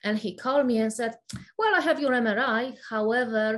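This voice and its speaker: A woman speaks at a moderate pace with a fairly high pitch. Her pitch variation is ordinary. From Poland. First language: Polish. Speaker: functional nutritionist. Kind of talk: interview.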